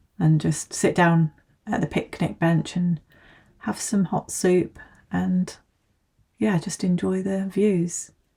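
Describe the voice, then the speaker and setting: At a very slow pace with long, frequent pauses, a woman speaks in a fairly low pitch with ordinary pitch variation and a dark, mellow, somewhat breathy tone. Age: 40s. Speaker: mother of a large family. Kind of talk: casual vlog talk to camera.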